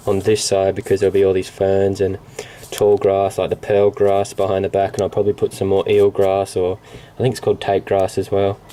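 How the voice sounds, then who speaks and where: The voice is in an Australian accent. Background noise is noticeable. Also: man. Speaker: hobbyist vlogger. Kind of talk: casual explanation to camera. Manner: halting, many fillers.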